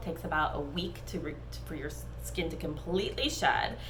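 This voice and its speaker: Audible room echo surrounds a woman's voice. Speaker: esthetician. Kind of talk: tutorial. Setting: facial room.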